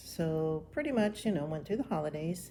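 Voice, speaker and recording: The voice has a relaxed tone and an American accent. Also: woman. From Florida. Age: 60s. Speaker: retiree vlogger. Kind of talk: casual vlog monologue. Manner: relaxed, with frequent ums.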